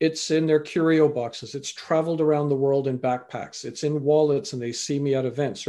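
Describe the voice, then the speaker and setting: In a Canadian accent, someone speaks at a fairly quick pace with a dark, mellow tone and ordinary pitch variation over a quiet background. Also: man. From Canada. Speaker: life coach and motivational speaker. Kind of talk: interview conversation.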